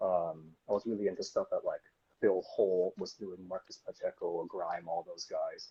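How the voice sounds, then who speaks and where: A man talks at a moderate pace in a Californian accent. The sound is dry and close, with no echo. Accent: sounds Californian. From Japan, Tokyo until 12. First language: Japanese. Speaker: tattoo artist. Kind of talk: interview.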